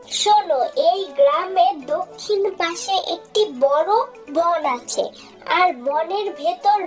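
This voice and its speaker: Over clear background music, a cartoonish, female-sounding character voice squeaks at an extremely high pitch. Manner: calm, motherly authority.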